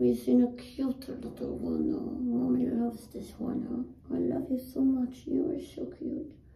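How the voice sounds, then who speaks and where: A woman speaks in a soothing, gentle tone with hardly any pauses. Room echo is audible. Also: fairly slow pace. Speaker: yoga teacher. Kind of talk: guided yoga class. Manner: soothing, gentle, instructional; warm, chatty. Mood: calm, friendly. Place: home room. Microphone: camera far.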